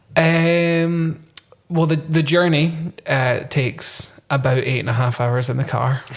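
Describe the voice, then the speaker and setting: A man's fairly high pitch, fairly slow pace and fairly even intonation, against noticeable background noise. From Scotland, Dunfermline in Fife. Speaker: musician. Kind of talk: casual chat.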